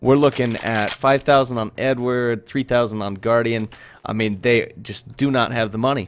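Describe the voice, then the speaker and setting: Intonation stays fairly even as a man speaks with medium pitch at a moderate pace. He has an unremarkable speaking voice. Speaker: esports caster (first attempt at commentary). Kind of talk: esports match commentary.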